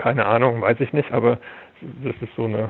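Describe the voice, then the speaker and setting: A man's voice with noticeable background noise. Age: 50s. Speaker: film archivist. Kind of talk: interview. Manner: halting, repeats words.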